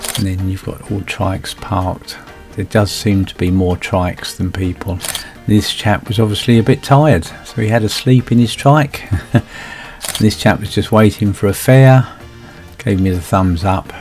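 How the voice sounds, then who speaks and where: A man talks at a moderate pace in a fairly low pitch. Music plays in the background. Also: ordinary pitch variation. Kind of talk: casual commentary.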